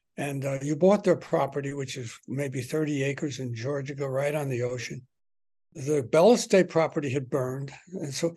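A man's voice sits fairly high, is somewhat breathy, and shows ordinary pitch variation. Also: moderate pace. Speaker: podcast host and author. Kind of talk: interview. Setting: home.

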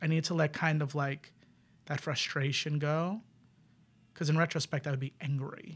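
Recorded very cleanly against a silent background, a fairly high-pitched man with an American accent speaks fairly quickly in a somewhat breathy, monotone, flat voice. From New York City, the Bronx. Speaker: queer improv performer. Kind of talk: casual chat.

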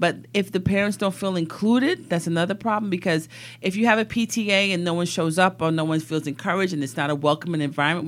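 A woman with an American accent speaks at a very fast pace and a fairly low pitch. The recording is very clean, with a silent background. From East London, then New York from age ten. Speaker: politician. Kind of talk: interview.

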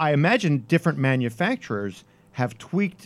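Lively in intonation, a man uses a normal speaking voice at a moderate pace in a very clean recording with a silent background. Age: 50s. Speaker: podcast host and newspaper columnist. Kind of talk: casual chat. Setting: studio.

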